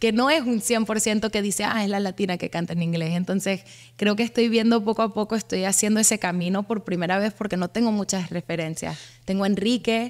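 Her intonation fairly even, a woman talks at a fairly quick pace against a quiet background. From US, Miami. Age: 20s. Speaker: singer-songwriter; guest. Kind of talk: interview. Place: studio. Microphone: studio mic.

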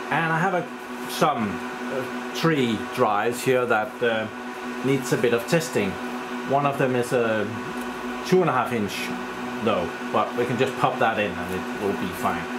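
Over loud background noise, a man speaks at a fairly slow pace with ordinary pitch variation and long, frequent pauses. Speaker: tech hobbyist vlogger. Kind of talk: casual tech vlog chat. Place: home room. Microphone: phone near.

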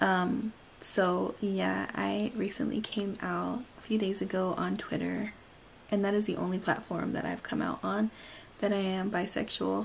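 Over light background noise, a woman talks at a fairly slow pace. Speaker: beauty YouTuber. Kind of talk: makeup tutorial; personal talk to camera. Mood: warm, upbeat. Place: home room. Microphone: phone near.

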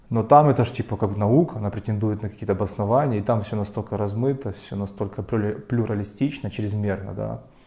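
Speaking at a fairly quick pace with hardly any pauses, a man has a fairly low pitch, a dark, mellow tone, a somewhat breathy quality and ordinary pitch variation over a quiet background. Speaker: lecturer. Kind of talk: lecture. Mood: ironic, opinionated. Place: classroom. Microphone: camera far.

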